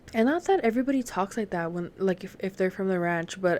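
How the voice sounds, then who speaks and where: A woman speaks with a slight Southern US accent. The recording is very clean, and the background is silent. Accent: slight southern US accent picked up. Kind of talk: casual storytelling monologue.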